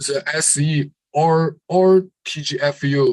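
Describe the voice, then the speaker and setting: A man speaks with a Chinese accent and fairly even intonation. His voice is somewhat breathy. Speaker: conference presenter. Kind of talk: Q&A session. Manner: halting.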